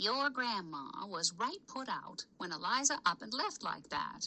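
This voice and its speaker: In a put-on character voice, this female-sounding speaker talks high and fairly slowly, her pitch swinging very widely. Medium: read story. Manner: prying, gossipy.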